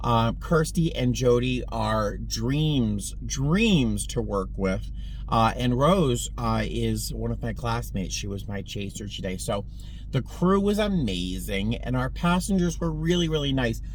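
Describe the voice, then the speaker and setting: The man talks fairly slowly, and his voice carries audible room echo. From Boston, US. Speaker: flight attendant vlogger. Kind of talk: casual vlog chat. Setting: in a car.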